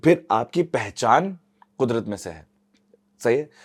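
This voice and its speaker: A man talks at a moderate pace. The background is silent on this very clean recording. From Karachi, Pakistan. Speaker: climate activist. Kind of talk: podcast interview. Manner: code-switching Urdu and English; hesitant, filler-heavy.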